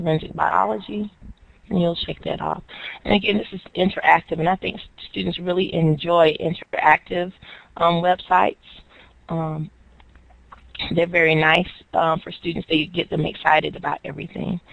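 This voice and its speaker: Using vocal fry, a woman with a fairly low pitch talks at a moderate pace, with ordinary pitch variation and long, frequent pauses. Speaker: educator presenting STEM resources. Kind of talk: webinar presentation. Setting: online webinar.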